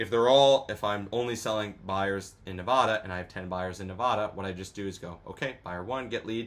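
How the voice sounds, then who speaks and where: A man with a fairly low pitch talks fairly quickly, his pitch shifting in an ordinary way. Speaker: online business course instructor. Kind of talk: tutorial. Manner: fast; casual, filler-heavy.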